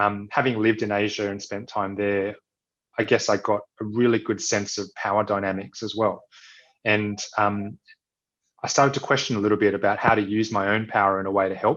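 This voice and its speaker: With an Australian accent, a man speaks at a fairly quick pace in a fairly low voice with fairly even intonation against a quiet background. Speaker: social entrepreneur and physiotherapist. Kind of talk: interview conversation. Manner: hesitant, many fillers.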